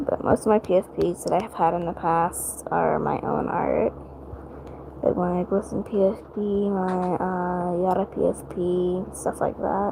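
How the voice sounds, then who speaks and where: Soft-spoken and monotone, a woman talks at a medium pitch and a fairly slow pace with flat intonation over noticeable background noise. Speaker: livestreamer drawing digital art. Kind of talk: casual livestream chat while drawing. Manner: quiet, speaking softly at night; hesitant with many fillers.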